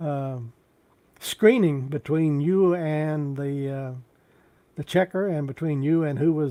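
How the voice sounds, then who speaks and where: A man with a Texan accent, dark and mellow in tone, fairly high in pitch with fairly even intonation, dry and close with no echo, on a very clean recording with a silent background. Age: 70s. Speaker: YouTube live streamer. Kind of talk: casual live stream chat. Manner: halting.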